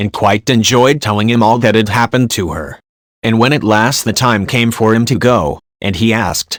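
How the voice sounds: This is a natural reading voice with fairly even intonation over a quiet background.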